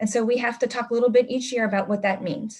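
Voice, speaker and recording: The voice belongs to a woman and sits at a fairly high pitch. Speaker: school administrator. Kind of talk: presentation at meeting. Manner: fast.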